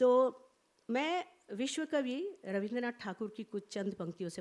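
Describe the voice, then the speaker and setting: A woman speaks with a Bengali accent. Her pitch swings very widely. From India, grew up in border regions across the country. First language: Bengali (speaking Hindi). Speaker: professor of language and literature, translator. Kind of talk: conference speech. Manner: formal.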